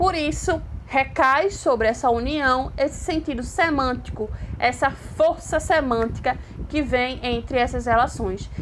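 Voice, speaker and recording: Over noticeable background noise, a woman with a high pitch and ordinary pitch variation speaks at a fairly slow pace and a very even loudness. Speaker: Spanish teacher. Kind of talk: online lecture.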